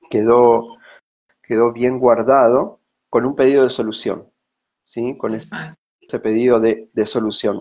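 With long, frequent pauses, a man of medium pitch speaks at a fairly slow pace in a flat, monotone way. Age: 40s. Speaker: personal growth consultant. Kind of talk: personal testimony.

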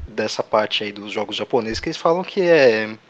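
Noticeable background noise sits under a man's speech. He talks at a moderate pace with very wide pitch swings. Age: 30s. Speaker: podcast co-host. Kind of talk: casual chat.

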